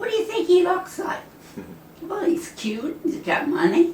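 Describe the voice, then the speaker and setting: A woman speaks with an extremely high voice and very wide swings in pitch. Her pace is fairly slow. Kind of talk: interview answer. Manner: snarky.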